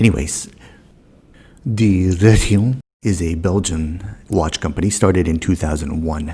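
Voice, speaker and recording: Speaking at a fairly slow pace with long, frequent pauses, a man with an American accent has a very deep, low pitch, a dark, mellow tone, a somewhat breathy quality and ordinary pitch variation. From United States. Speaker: watch and car vlogger. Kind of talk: casual vlog narration.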